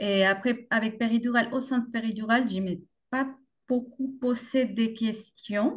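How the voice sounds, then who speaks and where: A woman's fairly high voice in a Colombian accent, at a fairly slow pace with fairly even intonation. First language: Spanish (speaking French). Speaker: mother sharing birth story. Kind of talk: podcast interview testimony. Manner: hesitant, many fillers.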